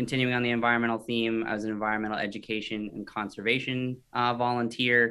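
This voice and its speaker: A man rattles along at a very fast pace with hardly any pauses, keeping a medium pitch in a flat monotone. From Maine, Scarborough near Portland. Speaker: property services company CEO. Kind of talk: casual interview.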